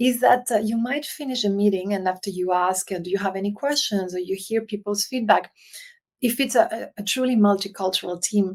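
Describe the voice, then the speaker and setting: A woman talks at a fairly quick pace in a Spanish accent. Her pitch varies in an ordinary way. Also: medium pitch for a woman. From Spain (Canary Islands), raised partly in France. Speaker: leadership consultant. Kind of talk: podcast interview. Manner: halting.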